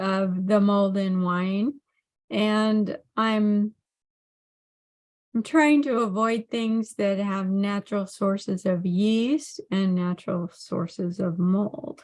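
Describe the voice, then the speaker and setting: At a very slow pace, a woman talks in a fairly high pitch. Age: 60s. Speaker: health coach. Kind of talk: monologue on health. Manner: halting, many fillers.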